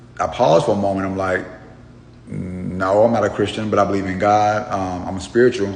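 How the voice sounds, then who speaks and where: A man at a moderate pace with fairly even intonation, audible room echo and noticeable background noise. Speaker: truck driver, social media storyteller. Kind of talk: casual storytelling monologue. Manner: hesitant, many fillers.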